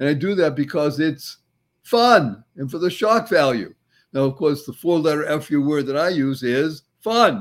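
Over a very clean recording with a silent background, a man with a fairly high pitch talks at a fairly slow pace with lively intonation. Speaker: motivational speaker and entrepreneur. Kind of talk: interview. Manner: energetic.

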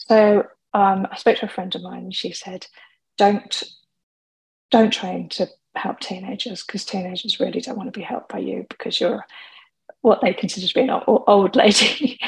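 Using a medium pitch and vocal fry, a woman talks at a moderate pace broken by long, frequent pauses. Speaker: alcohol coach and podcaster. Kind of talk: webinar-style presentation. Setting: webinar, recorded at home. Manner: chatty, informal.

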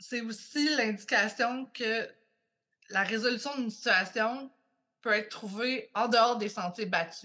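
In a Quebec accent, a woman speaks at a fairly slow pace with ordinary pitch variation. Her voice is fairly high in pitch, with a bright, sharp tone. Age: 30s. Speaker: podcast guest. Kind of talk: casual chat.

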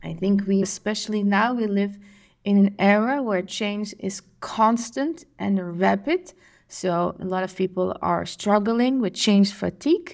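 A woman talks at a fairly slow pace with medium pitch and ordinary pitch variation. The recording is very clean, with a silent background. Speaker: podcast host and emotional intelligence coach. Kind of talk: solo podcast monologue.

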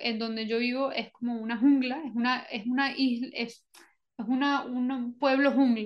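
This woman has a high-pitched voice. Her intonation is monotone and flat. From Venezuela and Colombia. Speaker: Chinese medicine practitioner. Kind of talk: interview conversation. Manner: hesitant, many fillers and repetitions.

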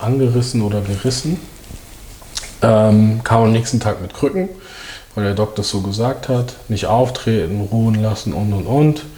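Over noticeable background noise, a man talks at a fairly slow pace and fairly low pitch, with ordinary pitch variation and long, frequent pauses. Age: 30s. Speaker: former professional footballer. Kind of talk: casual interview chat. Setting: studio.

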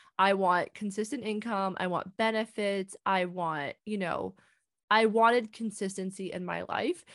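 Speaking at a fairly slow pace with a Canadian accent, this voice keeps a fairly even intonation over a quiet background, with a dry, close sound and no echo. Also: woman, medium pitch for a woman. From small-town Ontario, Canada. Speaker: business coach. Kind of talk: interview.

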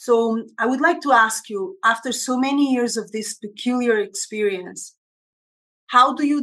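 Here a woman has a plain, everyday voice with a fairly high pitch. She speaks at a fairly slow pace with ordinary pitch variation. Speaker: podcast host and dancer. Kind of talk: interview conversation. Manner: warm, effusive.

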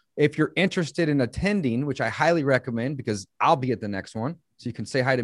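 On a very clean recording with a silent background and a dry, close sound with no echo, a man talks at a medium pitch with lively intonation and an enthusiastic tone. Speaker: podcast host. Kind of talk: interview.

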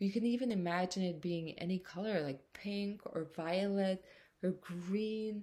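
A woman speaks at a very slow pace and medium pitch with a somewhat breathy voice. The recording is very clean, with a silent background. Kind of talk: guided meditation. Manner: soft, slow, soothing, calm and gentle with pauses; warm, intimate, and encouraging, with filler "um"s.

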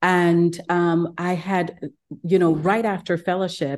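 A woman speaks at a fairly slow pace with a dark, mellow tone. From Ghana. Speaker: gastroenterologist. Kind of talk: interview conversation.

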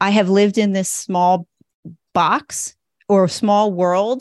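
A woman's unremarkable speaking voice, medium in pitch and fairly slow, with a dry, close sound and no echo. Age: 50s. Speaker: educator turning to financial advising. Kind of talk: coaching session.

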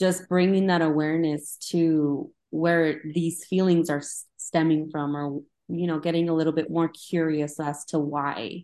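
A woman's very deep, low voice with a dark, mellow tone, at a fairly slow pace with hardly any pauses. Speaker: podcast host. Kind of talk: interview conversation. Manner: enthusiastic.

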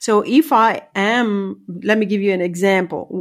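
A woman's medium-pitched voice with an Italian accent and ordinary pitch variation, in a very clean recording with a silent background. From northeast Italy. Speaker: leadership coach. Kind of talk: interview. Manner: halting, with fillers.

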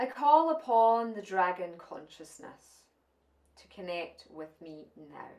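In a Scottish accent, a woman speaks very slowly at a medium pitch, her tone dark and mellow, with very wide pitch swings. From Scotland. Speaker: spiritual channeler and teacher. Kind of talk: channelled spiritual talk at an online summit. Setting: online summit presentation.

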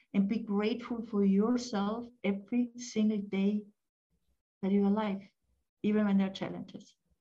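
A woman speaks at a fairly slow pace in an Austrian accent, her fairly high voice somewhat breathy. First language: German. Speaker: family therapist and life coach, author. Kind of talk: casual interview chat.

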